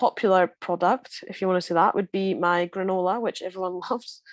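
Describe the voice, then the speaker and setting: A woman speaks in a strong Scottish Borders accent at medium pitch with ordinary pitch variation. The sound is dry and close, with no echo. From Scotland, Scottish Borders. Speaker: rugby player. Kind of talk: casual interview chat. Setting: podcast recording.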